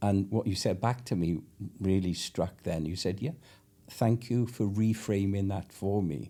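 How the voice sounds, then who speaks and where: With a Welsh accent, a man speaks at a fairly slow pace in a fairly low, dark, mellow voice with ordinary pitch variation. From Wales. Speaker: podcast host. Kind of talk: podcast interview.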